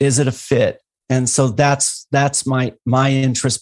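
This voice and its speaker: The sound is dry and close with no echo, against a quiet background. A man speaks in a somewhat breathy voice with monotone, flat intonation. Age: 50s. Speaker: endurance and fitness coach. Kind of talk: casual interview conversation.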